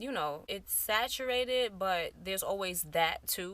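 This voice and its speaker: The tone is bright and sharp, with ordinary pitch variation, on a very clean recording with a silent background. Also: woman. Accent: New York. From New York. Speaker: beauty YouTuber. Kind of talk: casual vlog chat. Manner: casual, conversational.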